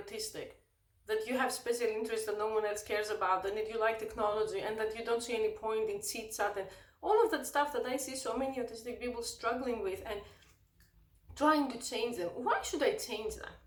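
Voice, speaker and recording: A woman with a high pitch talks at a fairly quick pace, ordinary in pitch variation, with audible room echo. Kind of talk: rant.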